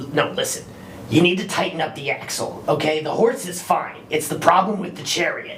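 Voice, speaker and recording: A put-on character voice at a middle pitch, fairly quick in pace, with clear background noise. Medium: actual play. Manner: casual, laid-back.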